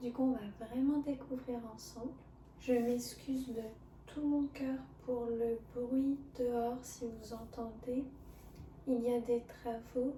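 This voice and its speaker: Soft-spoken, very slow speech with monotone, flat intonation, long, frequent pauses, and noticeable background noise. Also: woman, high pitch for a woman. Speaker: ASMR creator. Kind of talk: ASMR soft-spoken cooking video.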